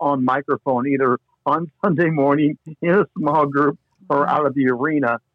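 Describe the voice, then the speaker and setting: Man with a Midwestern US accent, fairly high pitch, ordinary pitch variation and a moderate pace. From US Midwest. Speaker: sports broadcaster and pastor. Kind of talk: casual chat. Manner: mild stutter, mostly hidden.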